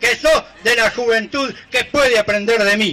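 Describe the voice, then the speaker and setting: A man speaks in a raised, projected voice. His intonation stays fairly even. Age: old. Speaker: folk improvising poet. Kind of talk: improvised verse duel. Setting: outdoors. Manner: measured rhymed verse. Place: stage.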